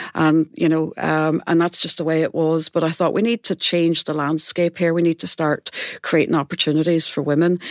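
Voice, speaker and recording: A woman with a Derry accent, monotone and flat, with hardly any pauses and a dry, close sound with no echo. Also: fairly low pitch for a woman, moderate pace. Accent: Northern Irish (Derry). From Northern Ireland, Derry. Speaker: music centre chief executive. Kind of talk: panel discussion. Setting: studio.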